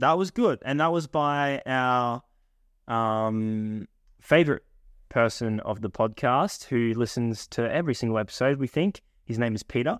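A man speaks with an Australian accent, and the sound is dry and close with no echo. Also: medium pitch for a man, ordinary pitch variation, moderate pace, very clean recording, silent background. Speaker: podcast co-host. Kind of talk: casual chat.

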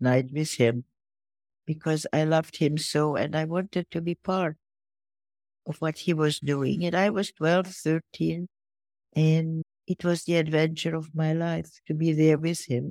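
A woman with a Hungarian accent, very deep and low in pitch, fairly even in intonation, at a moderate pace, in a dry, close sound with no echo. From Hungary, Budapest. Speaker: philanthropist and Holocaust survivor. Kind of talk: interview.

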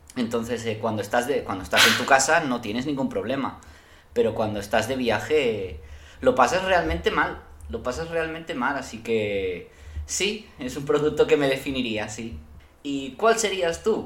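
Audible room echo surrounds a man of medium pitch who speaks at a moderate pace with vocal fry and very wide pitch swings. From Spain. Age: 30s. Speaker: podcast guest. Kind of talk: casual chat.

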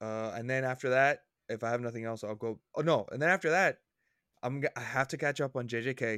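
A man with a medium pitch, a bright, sharp tone and ordinary pitch variation speaks at a very fast pace with long, frequent pauses. The recording is very clean, with a silent background and a dry, close sound with no echo. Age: 20s. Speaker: podcast co-host. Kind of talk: casual chat.

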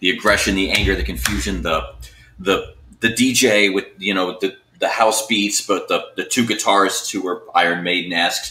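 An unremarkable speaking voice from a man with an American accent, fairly low in pitch, at a moderate pace. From Miami, South Florida. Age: 40s. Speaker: guest, metal fan. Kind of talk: casual chat.

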